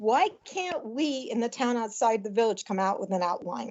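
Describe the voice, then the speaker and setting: Here a woman talks at a fairly slow pace in a fairly high pitch with lively intonation. It is a normal speaking voice. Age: 60s. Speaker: resident speaking at public forum. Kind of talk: public comment at town meeting. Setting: hybrid town meeting room.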